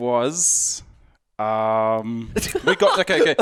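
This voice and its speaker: This man speaks very slowly with a New Zealand accent. His pitch is medium, with ordinary variation. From New Zealand, Auckland. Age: 30s. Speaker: strongman athlete. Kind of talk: casual interview.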